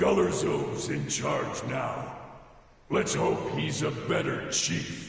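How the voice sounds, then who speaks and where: A man uses a put-on character voice at a very slow pace. A strong echo surrounds it. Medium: machinima. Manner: blunt, commanding.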